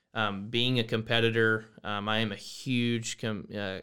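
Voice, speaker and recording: A man's bright, sharp voice at medium pitch, with a Texan accent and monotone, flat intonation, on a very clean recording with a silent background. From Texas, small town near San Antonio. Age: 20s. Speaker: mortgage loan officer and college student. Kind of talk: casual interview. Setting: studio.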